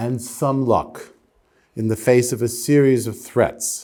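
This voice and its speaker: A man with a New York accent speaks at a fairly slow pace. His voice has a medium pitch and a dark, mellow tone. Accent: American, New York area. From US Northeast, New Jersey. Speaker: lawyer giving a public lecture. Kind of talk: lecture. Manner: slow, deliberate.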